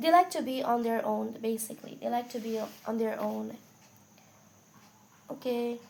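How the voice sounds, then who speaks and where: A quiet woman speaks with long, frequent pauses. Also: moderate pace. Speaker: tarot reader. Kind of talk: tarot reading. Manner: casual, conversational.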